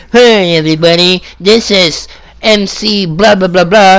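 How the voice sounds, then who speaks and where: A put-on character voice, female-sounding, at a medium pitch for a woman. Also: moderate pace. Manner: mocking.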